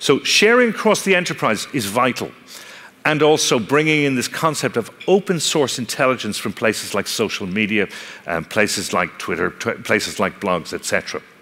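Here a man with an Irish accent speaks at a moderate pace. His medium pitch swings very widely. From Ireland. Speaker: technology company speaker on analytics and fraud; speaker. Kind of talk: conference talk. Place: stage.

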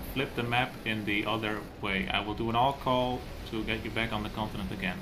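There's noticeable background noise as a man speaks at a moderate pace. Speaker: tournament admin. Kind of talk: formal announcement, countdown.

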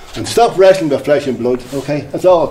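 Speaking at a very fast pace in an Irish accent, a man with a fairly high pitch and ordinary pitch variation is heard with audible room echo and light background noise. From Ireland, Drogheda; Ireland. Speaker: lay preacher. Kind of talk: sermon. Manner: animated. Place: hall.

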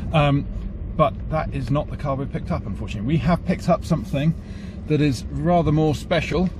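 Against noticeable background noise, a man's voice comes through dry with no echo. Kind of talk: casual vlog chat. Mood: cheerful, jokey. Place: car. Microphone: phone near.

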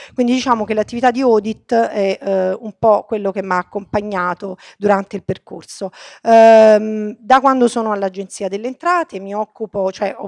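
A woman speaks at a moderate pace in an unremarkable speaking voice, fairly high in pitch with ordinary pitch variation. Her loudness swings widely, and the sound is dry and close against a quiet background with no echo. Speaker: politician. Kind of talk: speech.

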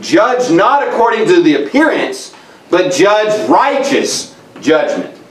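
A man talks at a fairly slow pace, and the room echo is audible. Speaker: preacher. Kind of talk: sermon. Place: church.

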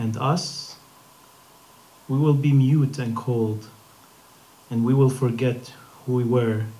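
Speaking very slowly, a man keeps his intonation fairly even. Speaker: open mic poet. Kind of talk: poetry reading. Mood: calm, reflective, slow. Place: hall. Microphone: podium.

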